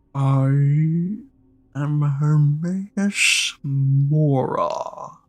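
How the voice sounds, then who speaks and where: A put-on character voice speaks at a low-to-middle pitch. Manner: slow, slurring.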